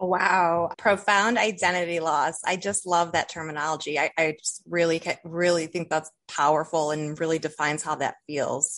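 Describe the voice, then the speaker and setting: A plain, everyday voice: a woman with an American accent, fairly low in pitch, at a moderate pace with hardly any pauses and ordinary pitch variation. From Toledo, Ohio. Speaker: podcast host. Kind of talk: interview.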